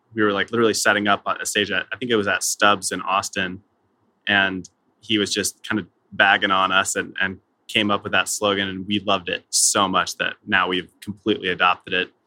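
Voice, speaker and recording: A man's fairly low voice has a bright, sharp tone and monotone, flat intonation, moving at a fairly quick pace in a dry, close sound with no echo. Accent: American. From Southern California. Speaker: musician in an acoustic duo. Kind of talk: casual podcast interview.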